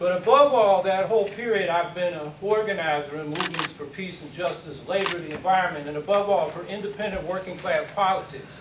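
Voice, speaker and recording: Over noticeable background noise, a high-pitched man with an American accent talks at a fairly quick pace with hardly any pauses, ordinary pitch variation and big swings in loudness. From San Francisco Bay Area, US. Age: 60s. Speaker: mayoral candidate. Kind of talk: candidate forum speech. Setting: community forum with audience.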